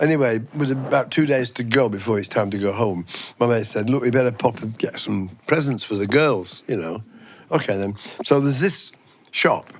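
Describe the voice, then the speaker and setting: This man's pitch is medium and varies in an ordinary way. He talks at a moderate pace. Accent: English. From England. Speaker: podcast co-host. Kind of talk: casual chat, storytelling.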